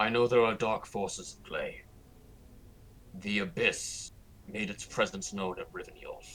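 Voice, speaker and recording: In a put-on character voice, a man speaks at a moderate pace with big swings in loudness and long, frequent pauses over clear background noise. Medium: actual play. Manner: direct, suspicious.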